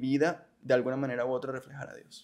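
Someone talks at a very fast pace over a quiet background. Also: man. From Colombia, Barranquilla; Colombia. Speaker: industrial engineer and church group leader; podcast guest. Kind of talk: personal testimony in interview. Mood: reflective, earnest. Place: studio. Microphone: studio mic.

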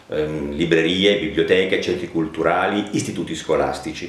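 A man speaks at a moderate pace with ordinary pitch variation. Audible room echo fills the recording. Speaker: actor and reading teacher. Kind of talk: channel introduction to camera. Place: home room.

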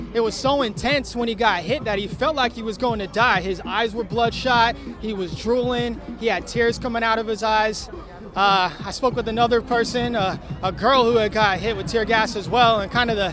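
A man with a high voice talks at a moderate pace and fairly even intonation. Faint music sits in the background. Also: dry sound with no echo. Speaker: TV news field reporter. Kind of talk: live news report. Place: street. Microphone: handheld.

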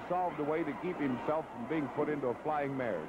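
Against noticeable background noise, a fairly high-pitched man talks at a fairly quick pace with ordinary pitch variation. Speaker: wrestling commentator. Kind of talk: live wrestling commentary, playful ringside banter. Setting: ringside at a wrestling arena. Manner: animated, joking, teasing the wrestlers; quick-fire, chatty.

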